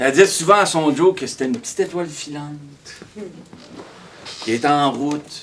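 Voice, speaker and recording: Amid noticeable background noise, a man with a Quebec accent speaks at a fairly slow pace and a fairly high pitch. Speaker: storyteller. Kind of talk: live storytelling performance. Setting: live stage. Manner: energetic, comic.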